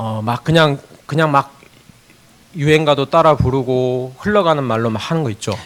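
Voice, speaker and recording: A man's fairly high voice with ordinary pitch variation, a moderate pace, long, frequent pauses and noticeable background noise. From South Korea, Gyeongsang province. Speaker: pastor. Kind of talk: sermon with consecutive interpretation.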